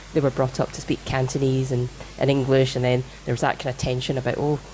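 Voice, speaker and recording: Over noticeable background noise, a woman with a very deep, low pitch talks at a very fast pace. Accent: strong Scottish. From Scotland, Glasgow. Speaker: audience participant. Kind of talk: panel discussion. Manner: halting.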